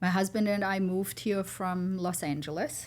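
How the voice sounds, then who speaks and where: A woman speaks with a German accent. The recording is very clean, with a silent background. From Germany. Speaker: entrepreneur. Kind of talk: interview.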